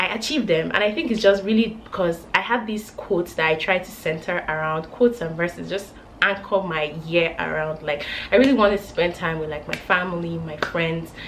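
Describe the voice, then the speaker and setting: A woman talks at a fairly quick pace in an animated tone, her fairly low pitch varying in an ordinary way. Audible room echo surrounds her voice. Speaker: lifestyle vlogger. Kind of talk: casual chat.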